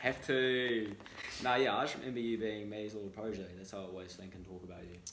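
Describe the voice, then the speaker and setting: A man with a New Zealand accent, fairly low in pitch and very fast, with fairly even intonation, big swings in loudness, audible room echo and noticeable background noise. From New Zealand, Auckland. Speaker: student entrepreneur and podcaster. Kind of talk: casual chat.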